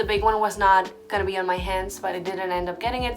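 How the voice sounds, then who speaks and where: Music plays in the background as a woman talks in an animated tone at a fairly quick pace. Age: 20s. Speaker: YouTuber. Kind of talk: storytime vlog.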